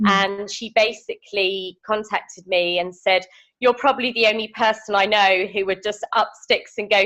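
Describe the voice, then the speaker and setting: A woman with a British accent has a bright, sharp tone. She talks at a moderate pace. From United Kingdom. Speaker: veterinarian. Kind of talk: interview answer. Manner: hesitant, casual.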